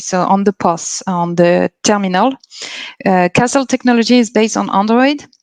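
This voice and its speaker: A woman with a French accent talks at medium pitch with ordinary pitch variation, in a dry, close sound with no echo. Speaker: company representative at a career fair. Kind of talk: live Q&A presentation. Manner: halting, many fillers and restarts.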